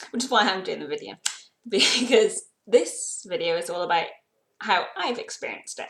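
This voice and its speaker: Speaking with a British accent, a woman leaves long, frequent pauses and shows big swings in loudness. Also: moderate pace. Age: young. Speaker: YouTuber. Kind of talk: personal vlog.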